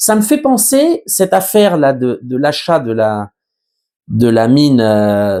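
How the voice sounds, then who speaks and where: A man speaks very slowly at medium pitch with a slight Berry accent, his dark, mellow voice making very wide pitch swings. The recording is very clean, with a silent background. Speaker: journalist. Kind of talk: news commentary monologue. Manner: hesitant, many fillers.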